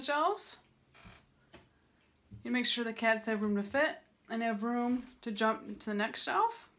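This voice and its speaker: The woman's speech moves at a moderate pace. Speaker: cat blogger. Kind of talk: casual tutorial vlog. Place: home room. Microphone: phone near.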